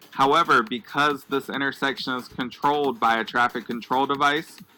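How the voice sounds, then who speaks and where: Music plays behind a man who speaks at a moderate pace with a fairly high pitch and fairly even intonation. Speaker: school transportation trainer. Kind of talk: scripted narration. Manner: monotone.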